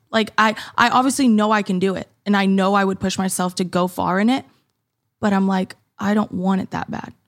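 The recording is very clean, with a silent background. A woman with an unremarkable speaking voice and medium pitch talks at a fairly quick pace with fairly even intonation. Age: 20s. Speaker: fitness content creator and mother. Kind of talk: casual chat.

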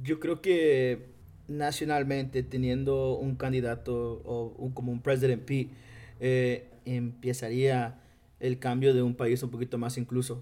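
Speaking at a fairly slow pace, a man delivers monotone, flat intonation at medium pitch with a dark, mellow tone. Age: 20s. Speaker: community center coordinator. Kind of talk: group interview.

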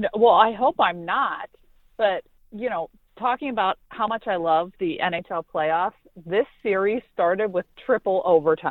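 A woman with a normal speaking voice and an American accent, medium pitch, lively intonation and a moderate pace. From Pittsburgh, Pennsylvania. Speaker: sports reporter and co-host. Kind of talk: casual sports talk. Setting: remote from Pittsburgh, quiet spot.

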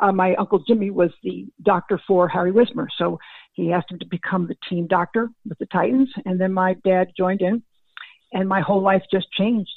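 Using an ordinary speaking voice, a woman talks at a medium pitch and a fairly quick pace, with ordinary pitch variation. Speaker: former football scout. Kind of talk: interview.

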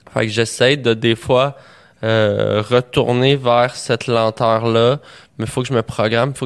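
Speaking at a moderate pace, a man uses a medium pitch with monotone, flat intonation. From Quebec, Montreal. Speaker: comedian. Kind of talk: casual chat.

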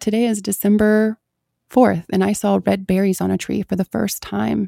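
This is a woman's voice. The sound is dry and close, with no echo. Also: very clean recording, silent background. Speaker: mindfulness guest and mother. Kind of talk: casual interview.

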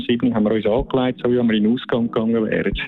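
Through noticeable background noise, a man with a medium pitch talks at a very fast pace in a monotone, flat intonation. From Switzerland, Zürcher Unterland. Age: 50s. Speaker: former skeleton athlete, bobsled track manager. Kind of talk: interview.

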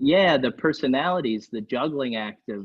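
A man talks in a normal speaking voice. His pace is moderate. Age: 20s. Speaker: songwriter and music producer. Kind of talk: casual chat.

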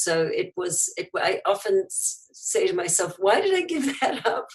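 A woman is speaking. She talks with a New Zealand accent. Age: 50s. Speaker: entrepreneur, company founder. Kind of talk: interview.

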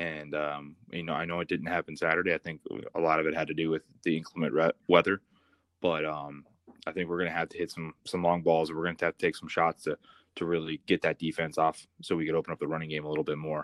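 Very fast speech from a man with an American accent, very deep and low, in a monotone, flat delivery. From US Midwest, Columbus, Ohio. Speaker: former college football player, co-host. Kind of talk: casual sports chat.

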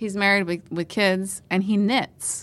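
In a normal speaking voice, a woman talks at a moderate pace with fairly even intonation on a very clean recording with a silent background. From Pennsylvania, Northumberland County. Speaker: TV reporter. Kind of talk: casual chat.

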